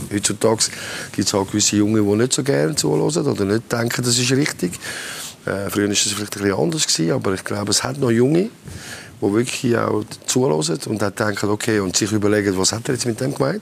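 Talking very fast with lively intonation and a fairly low pitch, a man is heard over noticeable background noise. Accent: Swiss. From German-speaking Switzerland. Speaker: football coach. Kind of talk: panel interview.

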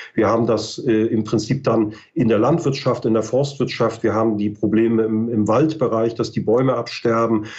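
Keeping a moderate pace and very even loudness, a man speaks with hardly any pauses. His medium pitch carries fairly even intonation. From northern Germany, Mecklenburg-Western Pomerania. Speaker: ecology research institute director. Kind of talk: expert interview.

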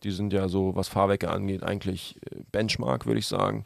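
The sound is dry and close, with no echo. A man talks at a fairly quick pace. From Germany, Hamburg. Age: 30s. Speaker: entrepreneur and car enthusiast. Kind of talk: casual chat.

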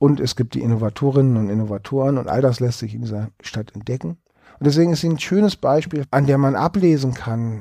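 A man at a medium pitch and moderate pace, with a dark, mellow tone and ordinary pitch variation. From Hamburg, northern Germany. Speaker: cultural historian. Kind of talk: interview.

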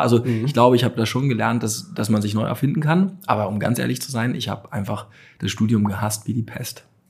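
A man talks at a fairly quick pace with vocal fry. The recording is very clean, with a silent background. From Hamburg, northern Germany. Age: 30s. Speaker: startup founder and CEO. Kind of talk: interview. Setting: company showroom.

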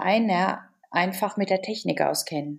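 This woman talks at a very slow pace. Her pitch varies in an ordinary way. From Germany. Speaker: volunteer team leader and shop owner. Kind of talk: interview. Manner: hesitant, many fillers.

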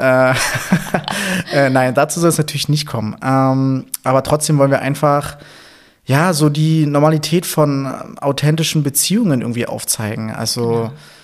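A man's fairly high voice moves at a fairly slow pace with ordinary pitch variation. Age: 30s. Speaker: podcast co-host, physiotherapist. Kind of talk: casual chat. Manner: halting, many fillers.

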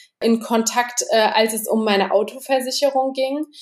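Ordinary pitch variation and a moderate pace are heard over noticeable background noise. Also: woman. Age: 20s. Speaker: bookkeeping consultant. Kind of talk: casual interview.

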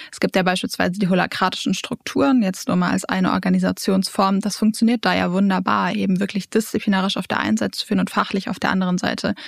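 A woman speaks at a very fast pace with hardly any pauses. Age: 20s. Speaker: leadership trainer and coach. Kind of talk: interview. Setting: studio.

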